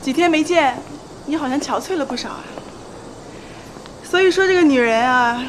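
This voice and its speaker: A woman speaks at a high pitch and a moderate pace, with ordinary pitch variation. Light background noise is present. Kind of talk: scripted drama dialogue. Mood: mocking, smug. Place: street.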